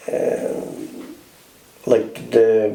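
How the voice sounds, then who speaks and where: This is a man speaking. Noticeable background noise runs under his voice. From Mealagh Valley, West Cork, Ireland. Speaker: oral history interviewee. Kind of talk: interview answer. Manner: hesitant, conversational.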